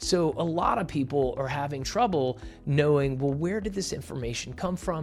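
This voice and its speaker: The voice is energetic and enthusiastic, with a Southern US accent. It is somewhat breathy, with lively intonation at a moderate pace. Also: man. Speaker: YouTuber, entrepreneur coach. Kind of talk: tutorial. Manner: energetic, enthusiastic.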